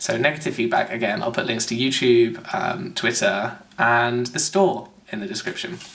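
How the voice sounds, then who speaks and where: Noticeable background noise sits behind a man. His pitch is medium, and his intonation is lively. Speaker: video blogger. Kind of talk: casual review monologue. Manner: fast.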